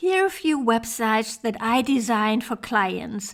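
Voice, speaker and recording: In a German accent, a woman speaks at a fairly slow pace. Her pitch is fairly high and her intonation lively. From Germany, Hamburg. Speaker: web designer for yoga teachers. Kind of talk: online training presentation. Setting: online summit presentation.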